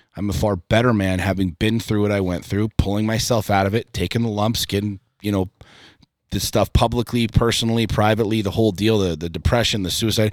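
A man talks in a plain, everyday voice at a fairly low pitch and a fairly quick pace. His intonation is fairly even, and the recording is very clean with a silent background. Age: 40s. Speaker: entrepreneur and podcaster. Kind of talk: casual chat.

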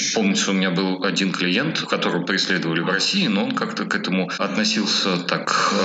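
There is noticeable background noise in this clip. A man speaks over it at a moderate pace. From Russia, Moscow. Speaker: immigration lawyer. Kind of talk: interview.

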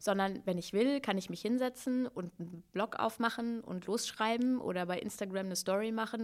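This is an ordinary speaking voice at a fairly quick pace. The intonation is fairly even. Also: woman. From Hannover, northern Germany. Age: 30s. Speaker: slam poet and author. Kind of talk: casual interview.

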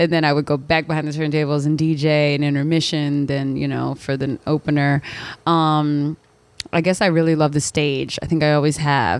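Woman with an American accent, very deep and low in pitch, monotone and flat, at a moderate pace. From Philadelphia, US. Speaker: DJ and radio host. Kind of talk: casual interview chat. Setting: studio.

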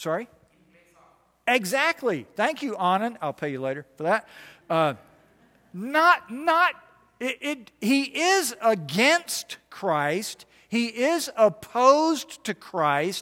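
Very slowly, a man speaks in a raised, projected voice at a high pitch with very wide pitch swings. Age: 60s. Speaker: chaplain and guest preacher. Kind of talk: sermon. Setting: church. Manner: halting, repeats words when starting sentences.

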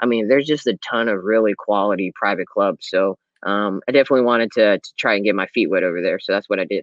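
Very fast speech comes from a man with an American accent. His fairly low voice shows ordinary pitch variation. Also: hardly any pauses. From Los Angeles, California. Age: 20s. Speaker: golf professional. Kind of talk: casual chat.

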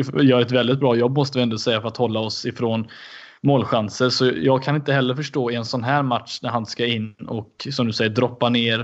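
Speaking at a moderate pace, a man with a medium pitch keeps his intonation fairly even. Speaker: football podcast co-host. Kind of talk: casual chat.

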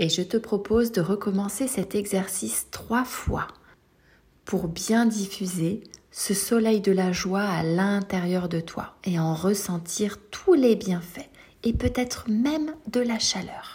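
Noticeable background noise surrounds a woman speaking at a very slow pace. Her medium-pitched voice has a calm, soothing tone and ordinary pitch variation. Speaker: sophrologist. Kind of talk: guided meditation. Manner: slow, soothing, gentle; calm, reassuring, addressing a child as tu.

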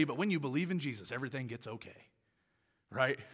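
With an American accent, a man speaks at a very fast pace and with lively intonation. The recording is very clean and the background silent. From Tulsa, Oklahoma, US. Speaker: youth pastor and speaker. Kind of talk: sermon. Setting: school gym with student audience. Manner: animated.

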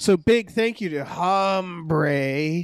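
A gravelly, put-on character voice at a middle pitch

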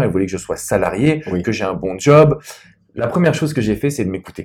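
The man rushes along very fast, his voice somewhat breathy and his intonation lively. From France. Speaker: love and business coach. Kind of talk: interview. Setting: private wine cellar venue.

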